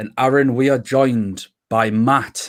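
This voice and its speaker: Speaking in a Geordie accent, a man keeps a medium pitch and a monotone, flat intonation. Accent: Geordie (Newcastle). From northern England, Newcastle. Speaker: podcast host. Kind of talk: casual chat. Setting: livestream.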